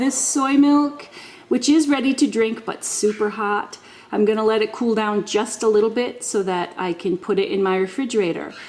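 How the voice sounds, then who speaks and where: A woman's fairly high voice carries ordinary pitch variation, with noticeable background noise behind it. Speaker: home cooking video host. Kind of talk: tutorial. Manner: casual, with many fillers.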